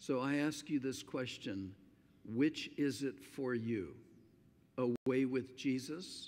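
A quiet man, medium in pitch with ordinary pitch variation, at a very slow pace. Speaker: pastor. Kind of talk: sermon. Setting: church. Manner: slow and quiet to save voice. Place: church. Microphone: podium.

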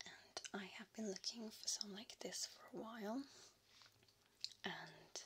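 A woman whispering very slowly in an English accent. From England. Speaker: ASMR creator. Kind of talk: ASMR soft-spoken show and tell. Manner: soft-spoken, partly whispered. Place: home room. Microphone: studio mic.

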